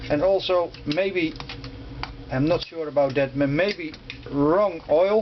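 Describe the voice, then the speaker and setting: Over noticeable background noise, a man talks very slowly. Long, frequent pauses break up his speech. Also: fairly high pitch for a man, ordinary pitch variation. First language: not English. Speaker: motorcycle restorer. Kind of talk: tutorial. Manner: halting.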